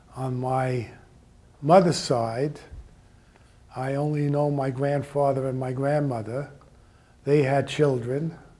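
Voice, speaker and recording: A man talks at a very slow pace with monotone, flat intonation. His fairly high voice has a dark, mellow tone, and audible room echo is present. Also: long, frequent pauses. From Austria. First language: German. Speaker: Holocaust-era refugee speaker. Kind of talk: personal life story talk.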